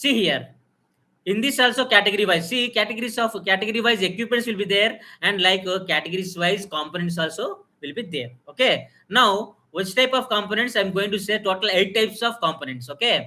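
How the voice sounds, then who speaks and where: A man's high-pitched, raised and projected voice, bright and sharp in tone, at a fairly quick pace with ordinary pitch variation. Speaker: biomedical engineering teacher. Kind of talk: live technical lecture. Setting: live stream. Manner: loud; halting, many fillers.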